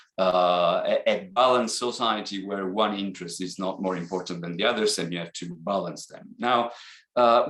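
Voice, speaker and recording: This man speaks with an Italian accent at a moderate pace. His pitch is fairly low. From Italy. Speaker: accounting academic. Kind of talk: seminar talk. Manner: hesitant, many fillers.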